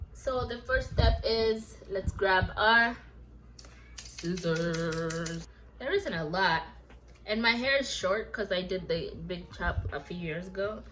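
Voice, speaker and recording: There is audible room echo as a woman speaks at a very slow pace. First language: not English. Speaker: lifestyle vlogger. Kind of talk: hair care tutorial. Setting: home kitchen. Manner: casual, chatty.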